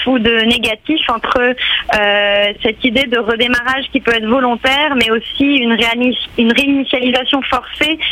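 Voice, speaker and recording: A woman with a high voice keeps her intonation fairly even despite noticeable background noise. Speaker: art curator. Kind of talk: radio interview. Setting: phone call.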